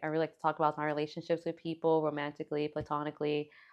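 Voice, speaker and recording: Her pitch is very deep and low for a woman. She talks at a very fast pace with an American accent. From Miami, Florida (Liberty City). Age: 20s. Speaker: photographer. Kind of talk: interview. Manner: soft-spoken.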